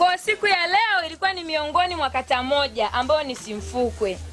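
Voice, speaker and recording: Music plays behind a woman with a high pitch. Her voice is raised and projected, with ordinary pitch variation. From Tanzania, Momba area. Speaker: parliamentary candidate. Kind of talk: campaign speech. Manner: animated.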